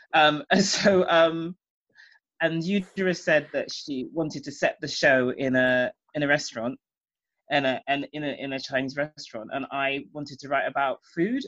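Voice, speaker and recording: Her pitch very deep and low, a woman speaks with a British accent. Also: ordinary pitch variation, moderate pace. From England, Jamaican parents. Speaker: playwright and former singer-songwriter. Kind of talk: interview.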